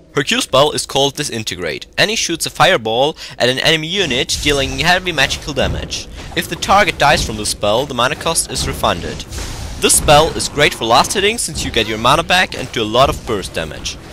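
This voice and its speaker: A man's fairly high voice with very wide pitch swings at a fairly quick pace, with music in the background. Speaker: game guide commentator. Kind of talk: game tutorial narration. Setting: old headset microphone.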